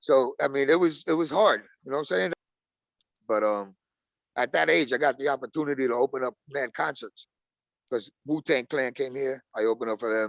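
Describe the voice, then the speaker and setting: Speaking with a Brooklyn accent, a man uses a medium pitch and ordinary pitch variation at a fairly quick pace. He leaves long, frequent pauses, and the sound is dry and close, with no echo. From Brooklyn, New York. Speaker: rapper. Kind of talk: casual interview.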